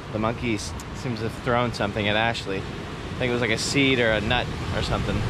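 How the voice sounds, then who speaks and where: A man talks at a very fast pace in a monotone, flat intonation. Audible room echo and noticeable background noise are present. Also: medium pitch for a man. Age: 20s. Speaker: travel vlogger. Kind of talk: travel vlog narration. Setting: outdoors.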